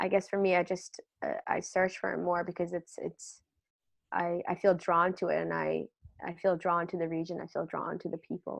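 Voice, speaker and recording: A woman speaks at a moderate pace with an American accent. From US, Lebanese American family. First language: Lebanese Arabic. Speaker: screenwriter. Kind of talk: casual chat. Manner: halting.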